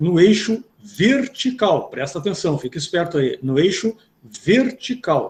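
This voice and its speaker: A man talks with a high voice. The intonation moves in a lively way. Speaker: math teacher. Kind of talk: lecture.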